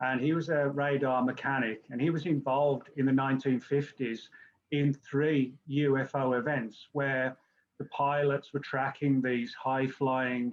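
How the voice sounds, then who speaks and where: A man talks in a monotone with flat intonation. He has an English accent. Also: fairly high pitch for a man, fairly slow pace. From England. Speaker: journalist and UFO author. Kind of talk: interview.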